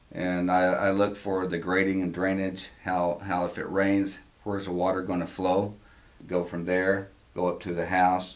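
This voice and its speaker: A man's very deep, low voice with an American accent, fairly slow and monotone, with audible room echo. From Texas, Amarillo. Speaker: home inspector. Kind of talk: interview. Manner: hesitant, many fillers.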